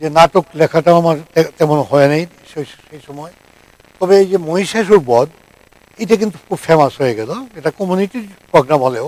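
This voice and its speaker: The man's voice sits at a high pitch. The sound is dry with no echo. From Bangladesh, Netrokona; Bangladesh. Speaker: journalist and lyricist; journalist. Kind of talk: talk show interview. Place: studio.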